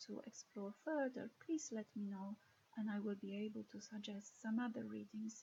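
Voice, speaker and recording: In a Polish accent, a woman speaks at a moderate pace with a fairly high pitch, a dark, mellow tone and a somewhat breathy quality. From Poland. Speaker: lecturer in ethics and moral theology. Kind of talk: recorded lecture introduction.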